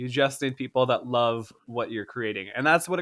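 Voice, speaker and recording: Speaking at a fairly quick pace, a man with an American accent has a normal speaking voice at a medium pitch. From Florida, US. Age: 30s. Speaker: stand-up comedian and former startup founder. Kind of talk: casual interview chat.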